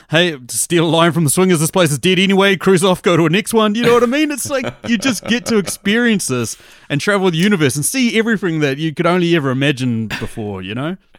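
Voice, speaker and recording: A man with a New Zealand accent, high-pitched, very fast, with hardly any pauses and very wide pitch swings. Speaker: movie podcaster. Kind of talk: casual chat.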